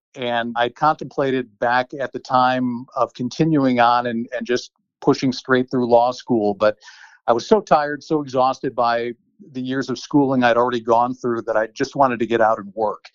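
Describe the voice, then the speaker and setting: In an American accent, a man with a plain, everyday voice speaks at a moderate pace, his medium pitch held in fairly even intonation. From Chicago, US Midwest. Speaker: former TV reporter turned attorney. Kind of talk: interview.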